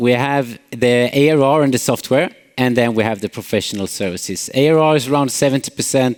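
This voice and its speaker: A man with a Swedish accent, at a fairly quick pace. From Sweden, Småland. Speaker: company CEO, conference speaker. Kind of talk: conference talk. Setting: stage with audience. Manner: frequent filler hesitations.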